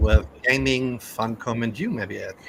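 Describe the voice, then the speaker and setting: With a German accent, a man talks at a fairly slow pace and medium pitch over noticeable background noise. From Germany. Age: 40s. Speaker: gaming podcast host. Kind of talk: casual podcast chat.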